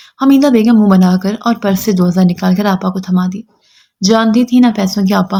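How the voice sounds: The background stays quiet. What we hear is a natural reading voice.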